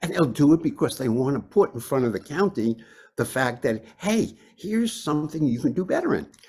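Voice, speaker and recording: A man speaks at a fairly quick pace with a fairly high pitch. His voice is somewhat breathy and his pitch swings very widely. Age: 80s+. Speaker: professor emeritus of environmental health. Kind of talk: webinar lecture. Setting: webinar. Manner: halting, many fillers.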